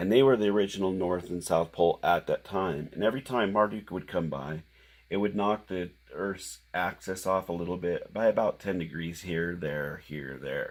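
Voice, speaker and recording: A man speaks quietly at a very deep, low pitch and a moderate pace, with ordinary pitch variation, on a very clean recording with a silent background. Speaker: independent researcher presenting theories. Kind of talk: monologue explaining theories. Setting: at home late at night. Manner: halting with fillers.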